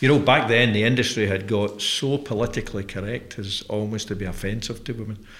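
A man speaks with a Glaswegian accent. His pace is moderate. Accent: Glaswegian Scottish. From Scotland (Glasgow). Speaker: company chief executive hosting interview. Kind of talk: interview conversation. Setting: studio.

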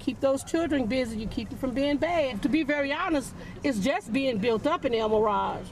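High female pitch with ordinary variation, set against noticeable background noise. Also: moderate pace. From St. Louis. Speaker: local resident. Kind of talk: street interview.

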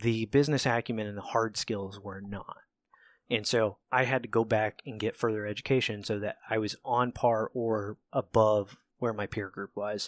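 In an American accent, a man talks at a fairly low pitch with monotone, flat intonation. The recording is very clean, with a silent background. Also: moderate pace, dry, close sound with no echo. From Southeast Ohio, Appalachia (Cambridge, Ohio). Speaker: podcast guest, father of daughters. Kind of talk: casual chat.

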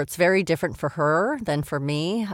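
A woman's plain, everyday voice, fairly low in pitch with lively intonation, on a very clean recording with a silent background and a dry, close sound with no echo. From Montreal, Canada. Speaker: voice actor. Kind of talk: casual podcast interview.

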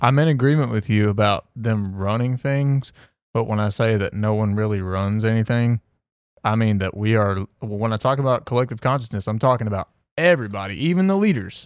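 An ordinary speaking voice from a man, medium in pitch with ordinary pitch variation, at a fairly quick pace, dry and close with no echo. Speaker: podcast co-host. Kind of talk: casual chat.

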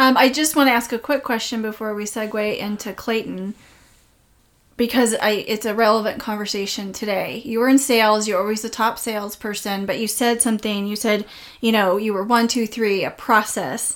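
At a moderate pace, a woman with an ordinary speaking voice talks at a fairly high pitch with fairly even intonation. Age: 40s. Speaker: podcast host. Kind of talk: interview. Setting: in a home.

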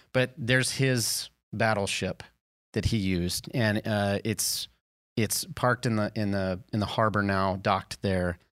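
A man with a fairly low pitch and an American accent speaks at a fairly slow pace with fairly even intonation, in a dry, close sound with no echo on a very clean recording with a silent background. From US South. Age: 40s. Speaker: podcast co-host. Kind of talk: casual chat. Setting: studio with headphones. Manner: halting, repetitive.

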